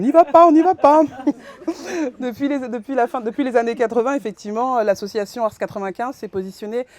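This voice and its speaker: A very clean recording, silent behind the voice, with lively intonation. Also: woman. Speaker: social worker presenting at a conference. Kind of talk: conference presentation. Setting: conference room with audience. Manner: halting, many fillers and restarts.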